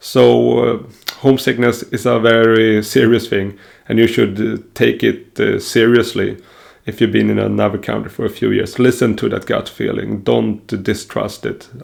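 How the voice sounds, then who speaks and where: A man with a Swedish accent talks at a moderate pace. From Sweden. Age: 30s. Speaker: self-improvement vlogger. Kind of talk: personal vlog monologue. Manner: hesitant, many fillers.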